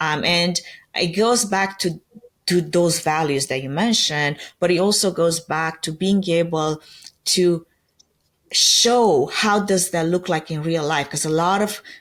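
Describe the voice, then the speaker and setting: A woman at a fairly slow pace, fairly low in pitch, with ordinary pitch variation. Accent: Romanian. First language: Romanian. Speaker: event production company founder. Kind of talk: podcast interview. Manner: conversational, uses fillers like 'like' and 'um'.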